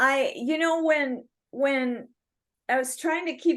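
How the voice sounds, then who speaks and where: Speaking at a fairly slow pace, a woman has an Upper Midwest accent. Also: quiet background. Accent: Upper Midwest (Minnesota). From Minnesota, Bayport near Stillwater. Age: 60s. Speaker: rock singer. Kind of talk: interview. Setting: video call.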